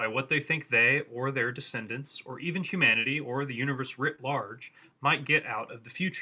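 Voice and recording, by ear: A text is being read aloud. The delivery sounds natural.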